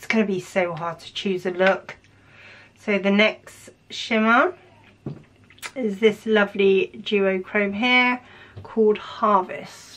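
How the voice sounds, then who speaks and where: A woman talks at a very slow pace with long, frequent pauses. Her pitch varies in an ordinary way over light background noise. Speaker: makeup youtuber. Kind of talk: makeup tutorial with swatches. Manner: animated. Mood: enthusiastic, impressed. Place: home room.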